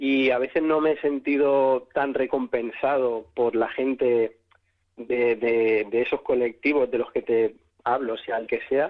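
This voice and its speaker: A man at a fairly slow pace, with monotone, flat intonation and very even loudness. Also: medium pitch for a man. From Spain, Catalonia (Sant Boi, Barcelona). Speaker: singer. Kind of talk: interview.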